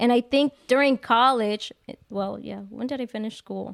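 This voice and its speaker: A woman with an ordinary speaking voice talks at a moderate pace and fairly high pitch, with ordinary pitch variation, in a dry, close sound with no echo. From Mexico (Jalisco), raised in US from age five. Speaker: livestream podcast guest, office worker. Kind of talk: casual chat, personal testimony. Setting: live-streamed video podcast.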